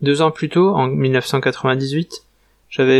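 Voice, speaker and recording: The intonation stays fairly even in an unremarkable speaking voice. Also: man. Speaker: travel vlogger. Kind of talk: scripted narration.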